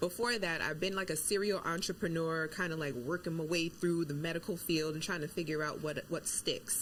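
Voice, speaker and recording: A woman with an American accent and an unremarkable speaking voice talks at a fairly quick pace with hardly any pauses, a fairly low pitch and fairly even intonation. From New York. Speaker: nurse and wellness coach. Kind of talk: interview.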